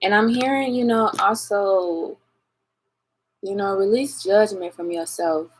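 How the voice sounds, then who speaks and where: A woman at a medium pitch talks at a fairly slow pace with ordinary pitch variation and long, frequent pauses. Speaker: tarot reader. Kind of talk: collective tarot reading.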